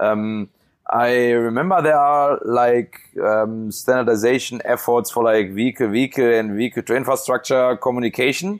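With a German accent, the speaker talks at a moderate pace with ordinary pitch variation and very even loudness. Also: man, medium pitch for a man. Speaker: autonomous driving engineer. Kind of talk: casual interview. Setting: remote call from home bedroom. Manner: halting, filler words.

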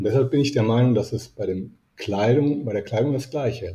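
Somewhat breathy, with a dark, mellow tone, a man speaks at a moderate pace and with ordinary pitch variation. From Italy (Rome). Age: 50s. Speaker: business etiquette coach. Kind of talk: interview.

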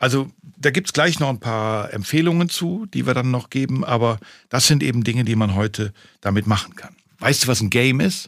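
A man's normal speaking voice, medium in pitch with lively intonation, at a fairly quick pace on a very clean recording with a silent background. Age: 60s. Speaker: podcast host, father. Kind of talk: casual chat.

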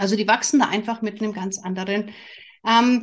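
A woman's somewhat breathy voice at medium pitch, with fairly even intonation. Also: quiet background. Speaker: family coach and podcast host. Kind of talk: solo podcast monologue. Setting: studio with camera and microphone.

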